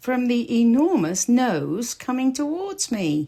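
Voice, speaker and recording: A put-on character voice that sounds female, pitched fairly high. It swings very widely in pitch at a fairly slow pace. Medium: read story.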